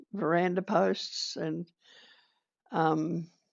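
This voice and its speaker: A woman with an Australian accent talks in a fairly low pitch. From Kaniva, Victoria, Australia. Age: 80s+. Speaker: retired midwife, community leader. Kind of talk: oral history interview answer.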